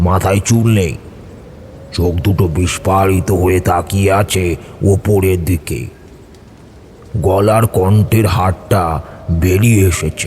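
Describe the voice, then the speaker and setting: Using a put-on character voice, a man speaks very slowly in a very deep, low register, with clear background noise. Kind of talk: horror narration. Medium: audio drama.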